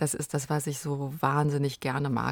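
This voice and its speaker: A woman speaks at a moderate pace with fairly even intonation in a very deep, low voice. The recording is very clean, with a silent background. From Germany, Rhineland near Cologne. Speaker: film producer. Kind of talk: interview.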